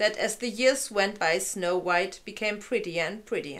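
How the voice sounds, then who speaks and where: A woman's fairly high-pitched voice. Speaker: fairy-tale narrator. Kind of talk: reading a story aloud. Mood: calm, gentle narration. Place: home room. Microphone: camera far.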